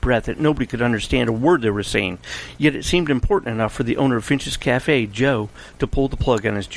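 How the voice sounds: A natural reading voice, intonation lively throughout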